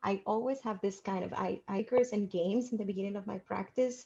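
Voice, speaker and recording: The voice has a dark, mellow tone, is somewhat breathy and moves at a fairly quick pace. Its intonation stays fairly even against a quiet background. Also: woman. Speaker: debate coach. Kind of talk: presentation to coaches. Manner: fast.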